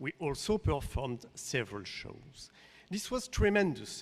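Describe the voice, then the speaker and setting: The speech is at a fairly slow pace with a slight French accent. Intonation is lively. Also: man. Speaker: artistic director of a dance company. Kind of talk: pitch presentation. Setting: conference stage with audience.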